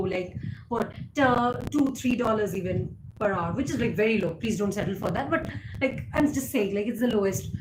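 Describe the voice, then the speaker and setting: Fairly quick pace and lively intonation, with audible room echo and noticeable background noise. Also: woman. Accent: Indian. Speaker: YouTuber. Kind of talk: live stream chat. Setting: live stream.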